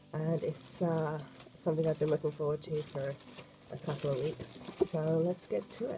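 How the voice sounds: A woman speaks at a low pitch with a dark, mellow tone. Her pace is moderate and her intonation fairly even.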